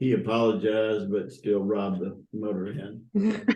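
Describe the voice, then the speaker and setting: A man with a Southern US accent, a dark, mellow tone and monotone, flat intonation, speaking fairly slowly in audible room echo. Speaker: church founding member. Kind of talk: interview. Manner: halting.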